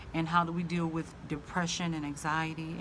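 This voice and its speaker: A woman with a Southern US accent speaks at a very deep, low pitch. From US South. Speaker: vlogger. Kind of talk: casual vlog monologue. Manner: halting, many fillers.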